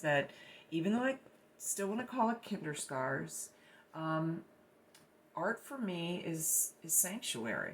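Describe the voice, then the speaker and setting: Speaking at a fairly slow pace, a woman uses a fairly low voice with lively intonation. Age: 60s. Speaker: artist. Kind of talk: personal testimony about own artwork. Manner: halting, many fillers and repetitions.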